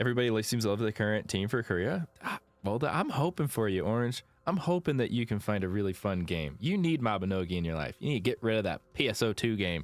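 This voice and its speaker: A man's fairly low voice at a very fast pace. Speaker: video game streamer. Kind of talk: live gaming stream chat. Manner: casual, filler-heavy.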